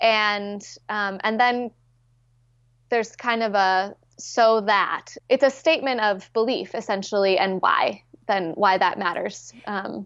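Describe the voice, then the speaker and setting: Against a quiet background, a woman with an American accent speaks at a very slow pace and a medium pitch. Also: ordinary pitch variation. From Minnesota. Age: 30s. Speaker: pastor. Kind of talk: interview. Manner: hesitant, many fillers.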